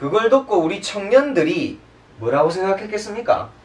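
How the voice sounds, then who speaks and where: The speaker moves at a moderate pace with very wide pitch swings, and noticeable background noise runs underneath. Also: man. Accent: Daegu. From Daegu. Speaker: political commentator panelist. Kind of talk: panel discussion commentary.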